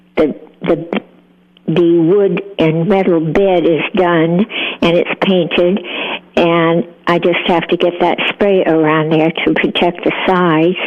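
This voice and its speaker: A woman speaks very slowly at a very even loudness, her fairly low pitch carried by fairly even intonation over noticeable background noise. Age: 80s+. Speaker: caller. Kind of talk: casual chat. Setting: phone call. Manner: halting.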